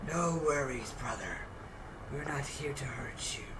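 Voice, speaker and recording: Whispering in a put-on character voice at a moderate pace, the speaker is heard over loud background noise. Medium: actual play.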